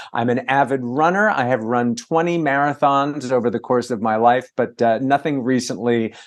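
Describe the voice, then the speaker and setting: A man speaks in a normal speaking voice at a medium pitch, with ordinary pitch variation. He barely pauses, and the background is quiet. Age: 60s. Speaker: entertainment reporter and author. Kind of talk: casual interview chat. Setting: video call. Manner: fast.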